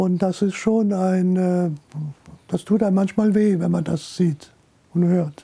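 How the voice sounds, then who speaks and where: A man speaks very slowly in a high pitch for a man, his tone dark and mellow and his loudness very even. His intonation stays monotone and flat, broken by long, frequent pauses. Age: 80s+. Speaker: retired journalist and newspaper editor. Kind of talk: interview testimony.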